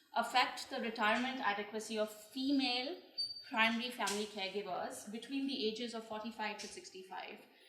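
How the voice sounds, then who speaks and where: At a moderate pace, a woman with fairly high pitch speaks amid noticeable background noise and audible room echo. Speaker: researcher presenting findings. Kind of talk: press conference presentation.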